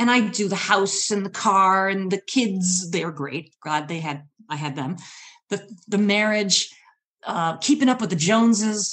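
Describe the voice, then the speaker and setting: With an American accent, a woman talks at a fairly slow pace in an ordinary speaking voice, medium in pitch with ordinary pitch variation. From US Midwest (Michigan). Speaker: storyteller and public speaking coach. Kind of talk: storytelling performance.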